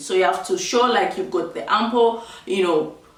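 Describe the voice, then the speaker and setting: A woman speaks with a fairly high pitch. There is noticeable background noise and audible room echo. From Zambia. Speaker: vlogger. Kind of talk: tutorial. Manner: casual, chatty.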